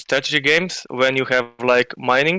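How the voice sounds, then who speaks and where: A man with a non-native accent, medium pitch and a bright, sharp tone, at a fairly slow pace, in a dry, close sound with no echo on a very clean recording with a silent background. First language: not English. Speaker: crypto community member. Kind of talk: casual chat. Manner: halting, many fillers.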